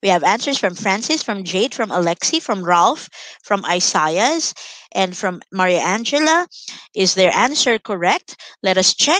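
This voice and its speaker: A woman speaks at a fairly slow pace with very wide pitch swings. The sound is dry with no echo, and the background is quiet. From Philippines. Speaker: online English tutor for grade 7. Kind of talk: online lesson tutorial. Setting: live online class with screen sharing. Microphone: headset.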